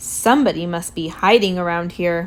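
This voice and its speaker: Using a put-on character voice, a woman speaks at a moderate pace with fairly low pitch and ordinary pitch variation. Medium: read story.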